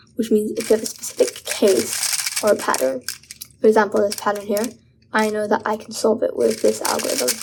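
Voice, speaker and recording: Noticeable background noise is present. Against it, a woman speaks at a fairly quick pace. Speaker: speedcuber. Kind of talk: casual talk to camera, beginner advice video.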